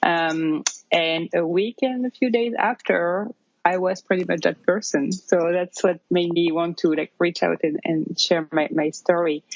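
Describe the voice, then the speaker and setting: A woman with a French accent, fairly low in pitch, fairly slow, with ordinary pitch variation. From France, near Paris. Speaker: new mother and yoga teacher. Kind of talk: interview testimony. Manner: hesitant, many fillers.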